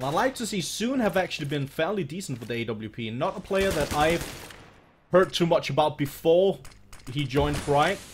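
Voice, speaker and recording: At a moderate pace, a man with a non-native accent talks in a fairly high pitch, his tone animated and his intonation lively. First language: not English (English is third language). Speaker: esports caster. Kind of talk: live commentary.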